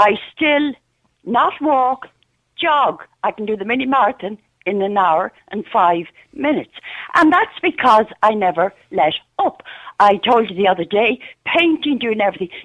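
A woman with an Irish accent speaks at a fairly high pitch and a moderate pace. Her pitch swings very widely, and she leaves long, frequent pauses. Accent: Irish (Louth). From Ireland, Dundalk. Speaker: regular radio caller. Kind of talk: talk radio call-in. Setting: phone call. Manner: animated.

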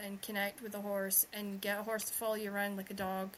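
A woman with a Scottish accent speaks at a medium pitch. There is noticeable background noise. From Scotland. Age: 30s. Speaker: podcast host and romance author. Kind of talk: casual chat. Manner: fast talker.

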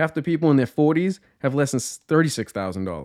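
A man at a very fast pace with very wide pitch swings, in a very clean, silent-background recording with a dry, close sound and no echo. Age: 40s. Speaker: podcast host, landlord. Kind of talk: solo monologue on personal finance. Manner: casual and joking.

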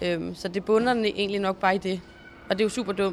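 A woman's medium pitch, monotone and flat in intonation, at a fairly quick pace. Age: 20s. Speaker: show jumping rider. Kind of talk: interview. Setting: horse stables.

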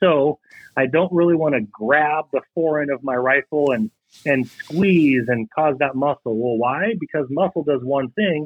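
A man with an American accent speaks at a fairly slow pace. He has an ordinary speaking voice, fairly high in pitch, with ordinary pitch variation. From western Washington State, US. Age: 30s. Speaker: target manufacturer, sponsor. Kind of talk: casual interview.

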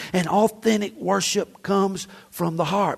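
In a Southern US accent, the speaker keeps an animated tone at a fairly slow pace over a quiet background. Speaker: pastor. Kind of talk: sermon. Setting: church. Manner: animated, folksy, exhorting the congregation with humor.

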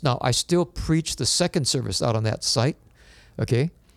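With a dry, close sound and no echo, a man speaks at a moderate pace and medium pitch with ordinary pitch variation. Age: 60s. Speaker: pastor. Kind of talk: interview conversation.

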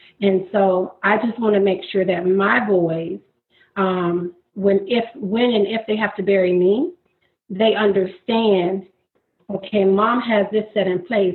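A woman with an American accent speaks in an ordinary speaking voice at a medium pitch. Her pace is fairly slow, with fairly even intonation and very even loudness. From Florida. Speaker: graduate student and entrepreneur. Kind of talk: interview.

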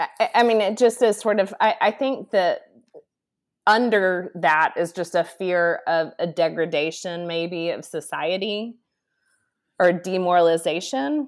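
A woman with an American accent speaks in a normal speaking voice at medium pitch, with ordinary pitch variation and a fairly slow pace. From Texas, Dallas. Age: 40s. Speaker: retreat center leader, former ministry executive. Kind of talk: podcast interview.

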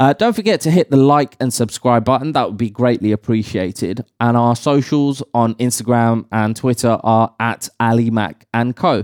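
An ordinary speaking voice at a moderate pace, with ordinary pitch variation and hardly any pauses, has a dry, close sound with no echo. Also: man, medium pitch for a man. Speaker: podcast host. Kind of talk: casual chat. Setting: studio.

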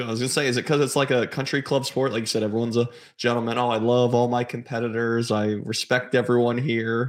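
A man at a medium pitch, talking very fast. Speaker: podcast co-host. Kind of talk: interview.

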